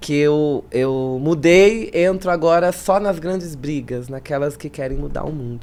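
At a fairly slow pace, a woman speaks in a very deep, low pitch with a dark, mellow tone and ordinary pitch variation. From São Paulo city, Zona Leste. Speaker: state legislator. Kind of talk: interview.

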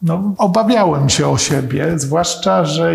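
At a very slow pace, a man talks with a high pitch. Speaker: historian. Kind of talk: lecture.

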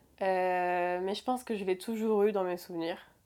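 A woman talks with ordinary pitch variation. Her recording is very clean, the background silent. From France, Rouen. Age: 20s. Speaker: barista. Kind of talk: personal testimony interview. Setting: home bedroom.

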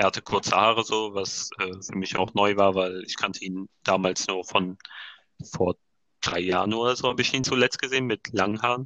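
In a plain, everyday voice, a man speaks with a fairly low pitch and fairly even intonation. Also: moderate pace. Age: 20s. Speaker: design student and podcast co-host. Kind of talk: casual chat. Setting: phone recording. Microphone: phone microphone, sounds like a call.

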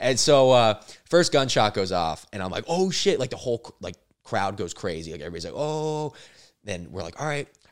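With an American accent, a man speaks at a medium pitch and a fairly quick pace, using very wide pitch swings and big swings in loudness, in a very clean recording with a silent background. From Florida, Fort Lauderdale. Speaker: comedian. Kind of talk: casual chat. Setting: studio. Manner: animated.

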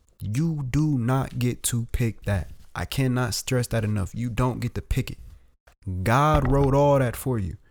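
Speaking fairly slowly, a man holds a medium pitch with ordinary pitch variation. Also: very clean recording, silent background. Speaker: podcast co-host. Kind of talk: casual chat. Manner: soft-spoken.

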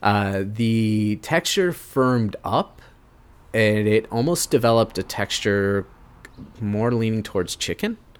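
This man has a plain, everyday voice with an American accent. He speaks at a fairly slow pace, his fairly low pitch showing ordinary variation. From US Midwest, Cleveland. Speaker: chef. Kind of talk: interview.

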